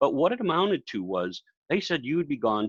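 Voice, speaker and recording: A man speaks with very wide pitch swings. The sound is dry and close with no echo. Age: 70s. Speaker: professional speaker. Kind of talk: casual interview.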